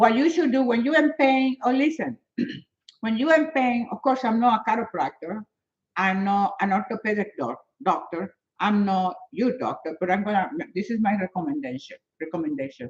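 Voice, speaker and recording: A woman with a Spanish accent speaks at a moderate pace, her fairly high voice somewhat breathy and swinging very widely in pitch. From Venezuela. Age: 70s. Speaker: fitness and health motivator. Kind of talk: live stream chat with viewers. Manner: animated.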